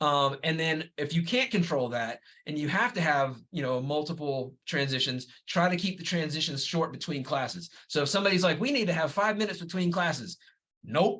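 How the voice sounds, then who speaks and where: A man speaks at a fairly quick pace in a fairly high pitch. His tone is bright and sharp, with ordinary pitch variation. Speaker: middle school administrator. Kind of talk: webinar presentation. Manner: fast; casual, conversational.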